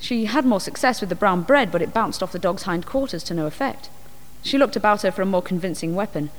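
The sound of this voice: The voice reads aloud without forcing. Its intonation is lively.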